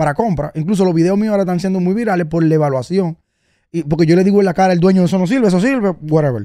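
This man talks at a very fast pace with a Dominican accent, his voice high for a man and dark and mellow in tone. His pitch varies in an ordinary way, and the sound is dry with no echo over a quiet background. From Dominican Republic. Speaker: car content creator and vehicle advisor; podcast guest. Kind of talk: casual interview. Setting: radio studio. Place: studio. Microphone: studio mic.

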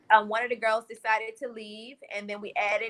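This woman's tone comes across bright and sharp over a quiet background. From New Orleans. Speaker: gospel singer. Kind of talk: interview. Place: home room. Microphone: video call.

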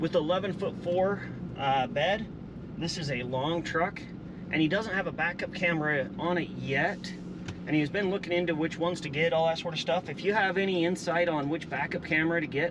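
A man speaks at a moderate pace with noticeable background noise. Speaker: vlogger. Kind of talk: casual vlog chat. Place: car. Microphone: camera far.

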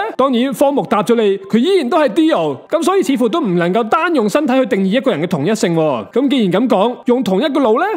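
A man talks very fast, with hardly any pauses, in an extremely high pitch that swings very widely. His loudness stays very even, and background noise is noticeable. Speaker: anime review YouTuber. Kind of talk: scripted video commentary.

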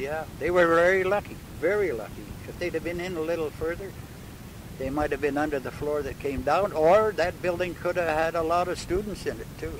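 A man with a Canadian accent speaks at a fairly quick pace in a high pitch, his intonation fairly even, the sound dry with no echo and noticeable background noise behind him. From Manitoba, Canada. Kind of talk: oral history interview answer. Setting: in a car. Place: car.

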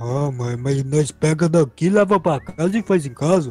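A man does a cartoonish character voice at a fairly high pitch and a moderate pace. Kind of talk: comic cartoon voice acting. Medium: machinima.

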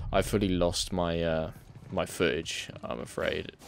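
Light background noise runs through the clip. The voice is a man's. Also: dry sound with no echo. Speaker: gamer streaming commentary. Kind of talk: gameplay commentary. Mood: apologetic, casual. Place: home room.

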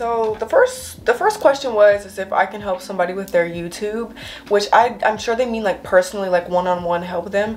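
Against light background noise, a woman speaks at a fairly quick pace with ordinary pitch variation. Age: young. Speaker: lifestyle and hygiene YouTuber. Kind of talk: casual talk to camera. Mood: warm, encouraging. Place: home room. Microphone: camera far.

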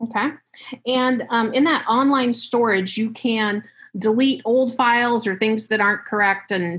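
A woman with a normal speaking voice, fairly high in pitch, fairly slow, with fairly even intonation and very even loudness, over a quiet background. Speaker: training session moderator; session moderator. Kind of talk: workshop moderation. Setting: video call. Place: home room. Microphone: webcam.

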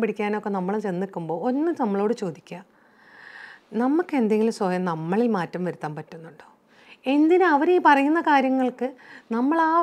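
Fairly high female voice, its pitch swinging very widely. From Kerala, India. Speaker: motivational speaker. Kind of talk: motivational talk to camera. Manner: conversational, addresses viewers directly. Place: studio.

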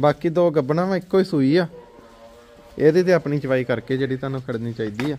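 A man with a fairly high voice and a dark, mellow tone speaks fairly quickly with fairly even intonation.

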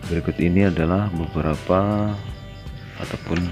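A man talks in a very deep, low voice while music plays clearly in the background. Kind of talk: tutorial. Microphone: phone near.

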